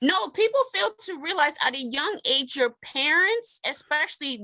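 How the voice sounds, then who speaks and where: In a raised, projected voice with a bright, sharp tone, a woman speaks very slowly with very wide pitch swings. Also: dry, close sound with no echo. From US, Maryland. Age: 20s. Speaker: podcast guest. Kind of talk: casual chat.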